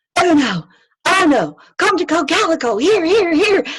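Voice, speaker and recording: A squeaky, put-on character voice, raised and projected. It moves at a moderate pace with lively intonation. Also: woman, extremely high pitch for a woman. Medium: read story.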